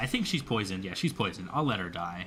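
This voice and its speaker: A man speaks with music in the background. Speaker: gaming youtuber. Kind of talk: gameplay commentary. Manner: stutters over words; casual, fast rambling.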